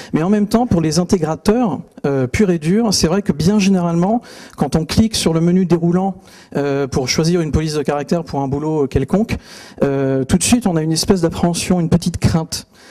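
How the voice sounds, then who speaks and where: Over noticeable background noise, a man talks at a fairly quick pace in a high pitch. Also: ordinary pitch variation. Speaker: typography speaker. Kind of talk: conference talk. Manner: fast; hesitant, many fillers.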